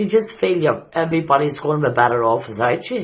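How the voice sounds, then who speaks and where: A man's somewhat breathy, fairly high voice with a Northern Irish accent, at a fairly quick pace. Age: 60s. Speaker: person living with depression. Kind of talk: interview testimony.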